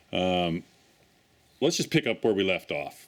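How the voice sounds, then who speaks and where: A man is speaking. His pace is fairly slow. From Newfoundland, Canada. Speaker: blacksmith and tiny house builder. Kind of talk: casual workshop vlog walkthrough. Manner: casual, with many filler words.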